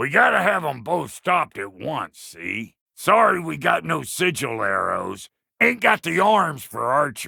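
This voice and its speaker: Putting on a raspy character voice with an American accent, a man speaks at a fairly high pitch and moderate pace with hardly any pauses. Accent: folksy American drawl. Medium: video game. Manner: crude, wisecracking, folksy.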